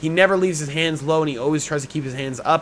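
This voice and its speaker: Over noticeable background noise, a man with a fairly high pitch and ordinary pitch variation talks at a very fast pace. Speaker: MMA YouTuber giving fight predictions. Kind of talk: fight predictions monologue. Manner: stumbling over words.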